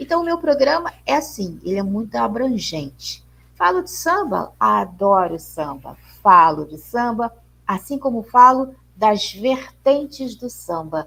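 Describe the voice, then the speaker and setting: Speaking at a fairly slow pace, a woman with a fairly high pitch shows very wide pitch swings and big swings in loudness. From Rio de Janeiro, Brazil. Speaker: radio presenter and teacher. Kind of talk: interview.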